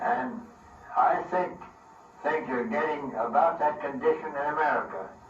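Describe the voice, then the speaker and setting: Over noticeable background noise and audible room echo, a man speaks at a fairly high pitch. His pace is fairly slow, and his pitch swings very widely. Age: 80s+. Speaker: castle builder. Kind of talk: casual storytelling.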